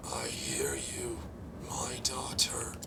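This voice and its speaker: Someone whispers in a put-on character voice over loud background noise. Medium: game stream. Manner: grandiose, ominous.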